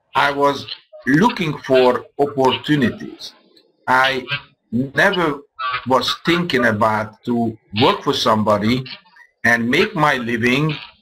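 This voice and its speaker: A man with a Hungarian accent speaks at a fairly slow pace. His pitch is medium, with ordinary variation. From Hungary. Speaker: business presenter. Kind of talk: sales pitch.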